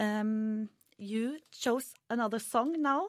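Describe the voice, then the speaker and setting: A woman with a Norwegian accent and lively intonation. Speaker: student radio host. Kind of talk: live radio interview. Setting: studio.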